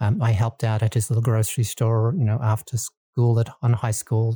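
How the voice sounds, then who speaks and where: A man speaks at a moderate pace and medium pitch, somewhat breathy, dark and mellow, monotone and flat, with a dry, close sound with no echo on a very clean recording with a silent background. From Australia. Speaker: nonprofit lending executive. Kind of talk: interview.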